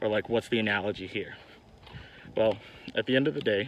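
A man with a fairly low pitch and fairly even intonation is heard in a dry sound with no echo over light background noise. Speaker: card game vlogger. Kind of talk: casual vlog chat. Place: street. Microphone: phone near.

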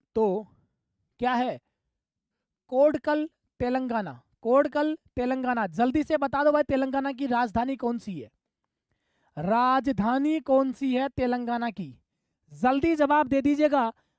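At a very slow pace and with long, frequent pauses, the speech has a dry, close sound with no echo. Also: woman, high pitch for a woman, ordinary pitch variation. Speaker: online exam-prep teacher. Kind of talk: live online class. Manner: animated.

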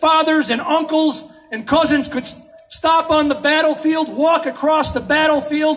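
Speaking at a moderate pace, a man delivers his words. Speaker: speaker. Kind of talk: political speech. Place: street.

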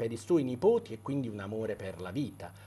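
A man does the talking. Ordinary pitch variation marks his delivery. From Italy. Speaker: doctor and debut novelist. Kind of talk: interview. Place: studio. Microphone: lapel.

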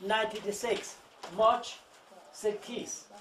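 A high-pitched man with a Chinese accent at a very slow pace, over light background noise. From China. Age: 80s+. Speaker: traditional physician. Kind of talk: monologue to visitors. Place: shop. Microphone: camera far.

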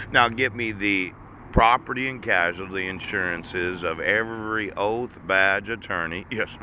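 Recorded dry with no echo over light background noise, a man with an American accent talks fairly slowly in a fairly low voice with fairly even intonation. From United States. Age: 40s. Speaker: vlogger. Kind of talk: monologue rant. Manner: laughing often; rambling with interjections. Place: street. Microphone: phone near.

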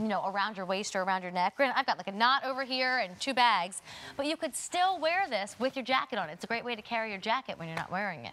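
A woman at a very fast pace, upbeat in tone, bright and sharp. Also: lively intonation. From Baltimore. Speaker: shopping channel host. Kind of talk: sales presentation. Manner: upbeat, chatty sales patter. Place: studio. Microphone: lapel.

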